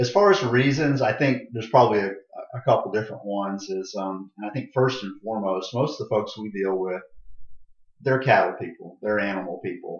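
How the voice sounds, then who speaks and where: An ordinary speaking voice with an American accent, a fairly quick pace and ordinary pitch variation. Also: man, fairly low pitch for a man. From Florida, Tampa area. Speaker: county extension agent. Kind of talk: interview.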